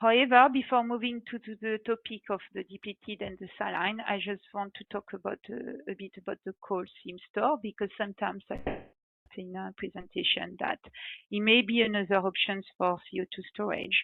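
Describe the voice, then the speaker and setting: A woman with a strong French accent, medium pitch, ordinary pitch variation, big swings in loudness and a moderate pace. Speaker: reservoir engineer, guest speaker. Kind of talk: webinar presentation. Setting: online webinar. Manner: halting, many fillers.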